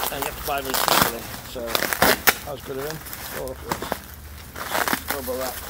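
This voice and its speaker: A man speaks quietly at a very fast pace, with long, frequent pauses and big swings in loudness. Noticeable background noise is present. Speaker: ukulele hobbyist. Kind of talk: unboxing video. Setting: outdoors.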